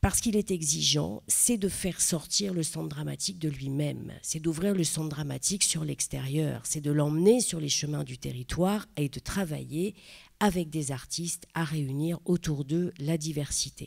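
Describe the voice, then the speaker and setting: The speaker has a Parisian accent, with ordinary pitch variation and a moderate pace. The recording is very clean, with a silent background. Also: woman, very deep, low pitch for a woman. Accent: Parisian (titi parisien). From Paris, 20th arrondissement. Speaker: theatre director. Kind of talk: panel talk. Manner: halting, many hesitations.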